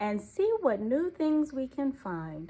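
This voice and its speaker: A woman puts on a character voice, high in pitch with very wide pitch swings, at a fairly slow pace. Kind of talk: bedtime story. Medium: read story. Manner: gentle, warm.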